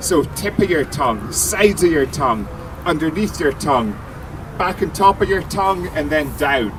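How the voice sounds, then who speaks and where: A man with a Scottish accent speaks at a moderate pace in a fairly high pitch. His intonation is lively, with noticeable background noise behind him. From Scotland. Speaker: brewer and TV presenter. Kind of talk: live beer tasting demo for audience. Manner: animated.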